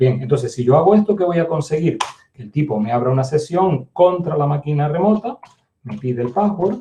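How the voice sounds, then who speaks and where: This man's pitch sits fairly high, and his tone is dark and mellow and somewhat breathy. His intonation is lively, with big swings in loudness. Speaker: university lecturer. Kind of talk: lecture. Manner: fast; hesitant fillers.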